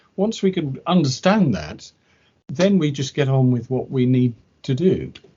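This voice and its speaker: Speaking with a British accent, a man with a fairly high pitch talks at a fairly slow pace, somewhat breathy, with lively intonation. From Britain. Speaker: English language teacher. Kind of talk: interview conversation. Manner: halting, with repetitions.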